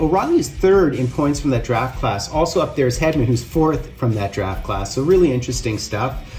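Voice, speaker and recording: The speaking pace sits at a moderate level. Behind it, background noise is noticeable. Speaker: sports card collector, box break video host. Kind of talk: casual box break commentary. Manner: stuttering a bit; animated.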